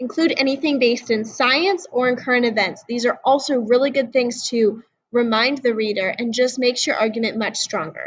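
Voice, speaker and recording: A woman speaks in a high voice at a fairly quick pace. She hardly pauses at all. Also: ordinary pitch variation. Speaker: high school teacher. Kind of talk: lecture. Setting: recorded video lesson. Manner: fast; casual.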